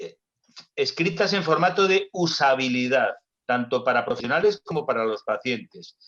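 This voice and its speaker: At a moderate pace, a man speaks at a high pitch with lively intonation. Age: 60s. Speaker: doctor and health tech executive. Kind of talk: panel discussion.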